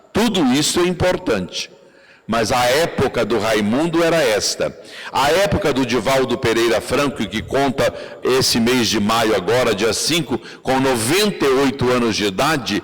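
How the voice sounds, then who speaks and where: Noticeable background noise sits under a man of medium pitch speaking at a moderate pace. His intonation is lively and his loudness very even. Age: 70s. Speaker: spiritist lecturer. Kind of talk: lecture.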